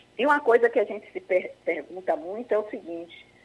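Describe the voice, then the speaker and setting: Very wide pitch swings from a woman at medium pitch. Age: 60s. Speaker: project founder, retiree. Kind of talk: radio interview.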